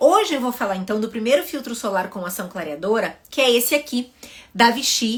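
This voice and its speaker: Somewhat breathy and fairly high, a woman speaks with lively intonation in a southern Brazilian accent. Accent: southern Brazilian (gaúcho). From southern Brazil (Rio Grande do Sul). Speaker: dermatologist. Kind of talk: educational video talk to camera.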